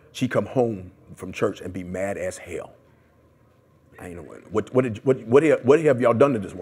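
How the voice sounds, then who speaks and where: A man of medium pitch speaks in an animated tone at a moderate pace, with lively intonation, big swings in loudness, and long, frequent pauses. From US Midwest (Detroit, Columbus). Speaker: community activist; interviewee. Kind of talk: oral history interview. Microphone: lapel.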